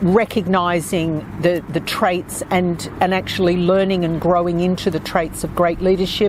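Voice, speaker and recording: Noticeable background noise surrounds this recording. A woman speaks at a fairly slow pace. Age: 60s. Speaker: author and podcast host. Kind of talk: podcast monologue with book readings. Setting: outdoors.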